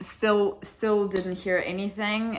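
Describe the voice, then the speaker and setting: Speaking in an Australian accent, a woman with a medium pitch has an animated, bright, sharp tone. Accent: Australian-sounding English. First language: Russian. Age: 20s. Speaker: vlogger. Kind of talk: casual vlog.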